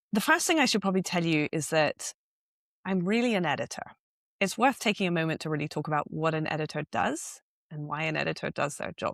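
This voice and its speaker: Speaking at a very fast pace with lively intonation in a British accent, the voice comes through on a very clean recording with a silent background. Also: woman, dry, close sound with no echo. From England. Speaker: editor, founder of a journalism platform. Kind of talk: interview.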